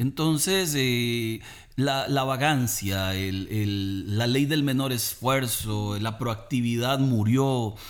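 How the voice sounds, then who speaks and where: In a room with audible echo, a man speaks very slowly at a medium pitch with ordinary pitch variation. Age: 40s. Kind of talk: religious family talk.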